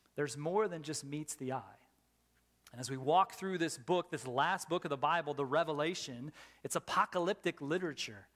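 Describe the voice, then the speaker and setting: A normal speaking voice, this man's is fairly high in pitch with ordinary variation, moving at a fairly quick pace in a dry, close sound with no echo. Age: 40s. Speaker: pastor. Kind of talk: sermon.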